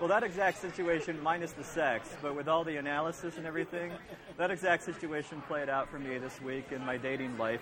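Fairly quick speech from a man at fairly high pitch, with ordinary pitch variation and noticeable background noise. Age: 30s. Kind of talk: casual chat. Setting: bar.

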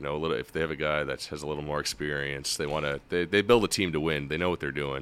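A man with a Nova Scotian accent talks very fast in a very deep, low pitch. His intonation is fairly even, with hardly any pauses. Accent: Nova Scotian Canadian. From Halifax, Nova Scotia. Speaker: retired hockey goalie. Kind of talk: casual chat. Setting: studio.

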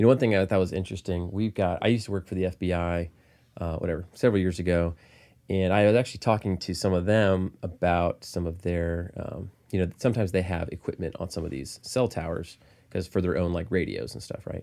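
A man's very deep, low voice in an American accent, dark and mellow, with fairly even intonation at a very fast pace. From Florida. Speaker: podcast host. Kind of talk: show announcements; interview. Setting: studio.

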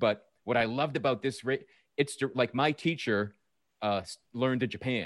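A man with a normal speaking voice speaks at a moderate pace in a medium pitch, with ordinary pitch variation. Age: 50s. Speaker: podcast host, mental health advocate. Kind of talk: casual interview.

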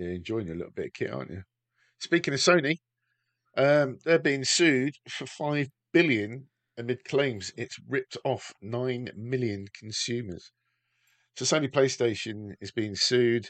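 Speaking at a fairly slow pace, a man in a plain, everyday voice at a medium pitch shows lively intonation and big swings in loudness. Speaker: podcast co-host. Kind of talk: casual chat.

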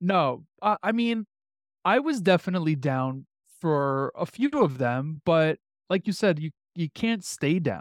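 Recorded dry and close with no echo on a very clean, silent background, a man with an American accent speaks fairly slowly at a high pitch with lively intonation. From New York, Queens. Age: 30s. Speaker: podcast host and entrepreneur. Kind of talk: interview.

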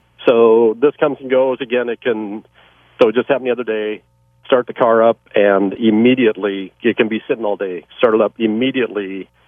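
In an unremarkable speaking voice, a man talks at a medium pitch and a fairly quick pace. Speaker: caller. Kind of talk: phone call. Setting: phone call.

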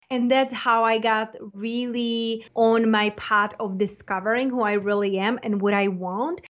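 Czech accent at a fairly slow pace, with fairly even intonation and hardly any pauses. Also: woman, fairly high pitch for a woman. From Czech Republic. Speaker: life coach. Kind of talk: interview podcast.

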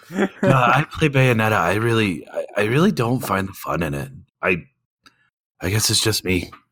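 A man at medium pitch swings his voice very widely, with vocal fry. He keeps a moderate pace. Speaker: podcast host, gaming. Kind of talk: casual chat about video games. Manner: informal, rambling, delirious.

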